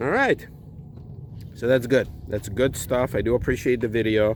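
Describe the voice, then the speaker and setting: With noticeable background noise behind him, a man talks at a moderate pace, his pitch varying in an ordinary way. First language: Russian. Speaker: car owner vlogger. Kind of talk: DIY tutorial; casual vlog outro. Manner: casual.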